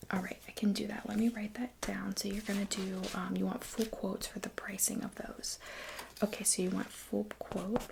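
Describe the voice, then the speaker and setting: Noticeable background noise sits behind a soft-spoken voice moving at a fairly slow pace. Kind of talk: ASMR role play, soft-spoken design consultant.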